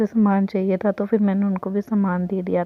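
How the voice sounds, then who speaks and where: Her tempo is moderate and her pitch medium. This woman's delivery stays flat and monotone. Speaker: vlogger. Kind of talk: casual vlog narration.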